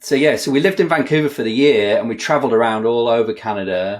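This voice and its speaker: A man with a northwest England accent at a medium pitch, lively in intonation and fairly quick in pace. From northwest England (Kirkby Lonsdale, Lake District). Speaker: software developer, author. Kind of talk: podcast interview, casual chat. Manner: casual, some hesitations.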